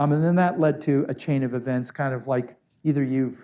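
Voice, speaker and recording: A man's medium-pitched voice with an American accent and a dark, mellow tone, fairly quick and fairly even in intonation. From Iran and US (Maine father). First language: Syriac Aramaic. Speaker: diplomat. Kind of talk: onstage interview. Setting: hall with live audience. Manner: halting, many fillers.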